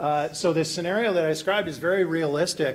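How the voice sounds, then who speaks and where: At a moderate pace and with ordinary pitch variation, a man speaks in an American accent over noticeable background noise. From Virginia, US. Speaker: hackathon presenter, software developer. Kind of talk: live tech demo presentation.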